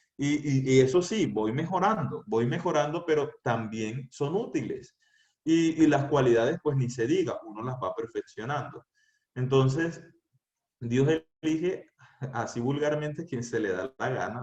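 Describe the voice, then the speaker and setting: A man talks at a fairly slow pace in a fairly high, somewhat breathy voice. His pitch variation is ordinary. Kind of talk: youth talk. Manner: serious.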